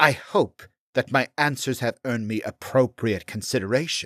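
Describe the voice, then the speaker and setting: A put-on character voice with a low-to-middle pitch. It moves along at a moderate pace. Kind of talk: fantasy audiobook character reading. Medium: read story. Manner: articulate, scholarly, sly.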